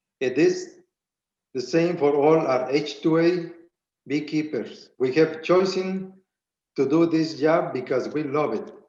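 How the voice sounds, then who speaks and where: With audible room echo, a man speaks at a fairly high pitch and a fairly slow pace, his intonation fairly even and his pauses long and frequent. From Spanish-speaking country, immigrant. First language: Spanish. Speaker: beekeeper and farm business owner. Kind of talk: prepared public testimony. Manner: halting, reading with restarts.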